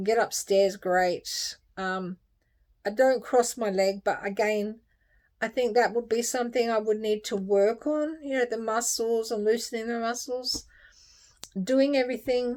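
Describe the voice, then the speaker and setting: Here a woman talks at a very slow pace. Her pitch is fairly high, with ordinary pitch variation. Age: 60s. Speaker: health vlogger. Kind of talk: personal video update. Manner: halting.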